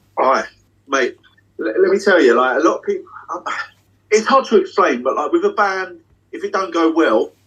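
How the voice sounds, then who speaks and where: A man with a British accent, his speech broken by long, frequent pauses. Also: moderate pace. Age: 30s. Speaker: magician. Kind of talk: casual chat. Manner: animated. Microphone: unstable Wi-Fi connection dropping in and out.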